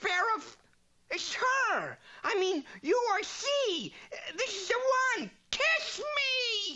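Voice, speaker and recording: A cartoonish character voice at an extremely high pitch moves at a very slow pace with long, frequent pauses. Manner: wisecracking.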